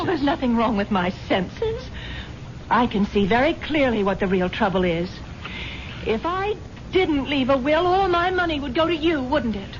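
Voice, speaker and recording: A woman's high-pitched voice with very wide pitch swings, moderate pace and long, frequent pauses, over noticeable background noise. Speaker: wealthy wife character in a radio drama. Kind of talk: old-time radio drama dialogue.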